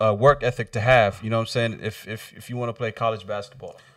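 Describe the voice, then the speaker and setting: On a very clean recording with a silent background, a man with an American accent and a normal speaking voice talks at a fairly quick pace with fairly even intonation. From US Northwest, Kent, Washington. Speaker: podcast host. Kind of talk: casual chat.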